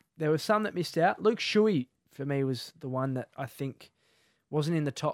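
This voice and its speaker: In an Australian accent, a man talks at a moderate pace, the sound dry and close with no echo on a very clean recording with a silent background. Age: 20s. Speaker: podcast host. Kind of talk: casual chat. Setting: studio.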